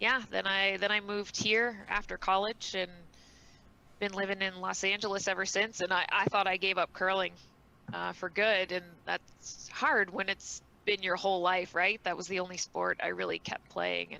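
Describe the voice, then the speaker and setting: A woman with a Canadian accent speaks at a moderate pace and a medium pitch. Her tone is bright and sharp, with vocal fry and monotone, flat intonation. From Eastern Canada (New Brunswick, Nova Scotia). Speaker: amateur curler. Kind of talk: casual podcast chat.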